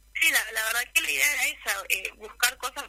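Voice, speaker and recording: Over noticeable background noise, a woman speaks at a moderate pace in a raised, projected voice. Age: 20s. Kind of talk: radio interview.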